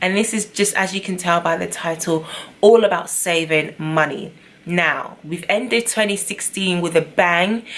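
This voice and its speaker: With a British accent, a woman of fairly low pitch speaks at a moderate pace in an upbeat tone. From London. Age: 20s. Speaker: beauty and lifestyle vlogger. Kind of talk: casual talk to camera. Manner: upbeat, chatty.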